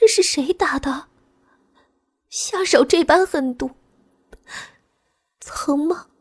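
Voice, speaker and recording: In a shaky put-on character voice at an extremely high pitch, a woman speaks at a very slow pace with very wide pitch swings and long, frequent pauses. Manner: trembling with emotion, tender.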